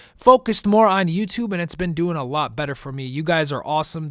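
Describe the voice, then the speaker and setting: An animated man with a fairly high pitch, a fairly quick pace and lively intonation, on a very clean recording with a silent background. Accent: slight Italian. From US Midwest, Chicago. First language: Italian. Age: 20s. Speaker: gaming YouTuber. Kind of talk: casual Q&A monologue.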